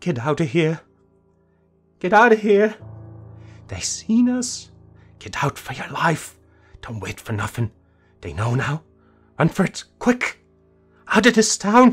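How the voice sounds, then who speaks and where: Whispering in a shaky, put-on character voice, the speaker goes at a fairly slow pace with long, frequent pauses as faint music plays in the background. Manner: panicked, urgent.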